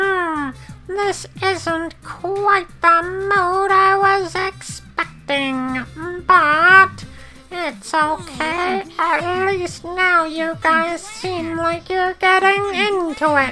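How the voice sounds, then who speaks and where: Clear music plays in the background as a squeaky put-on character voice at extremely high pitch speaks at a very slow pace. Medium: video game. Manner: playful, taunting.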